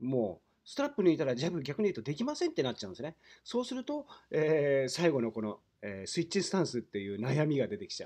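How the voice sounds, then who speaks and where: A man's very fast, fairly high-pitched voice, dark and mellow in tone, with very wide pitch swings over a quiet background. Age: 50s. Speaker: windsurfing instructor. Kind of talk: tutorial. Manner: explanatory, with many fillers.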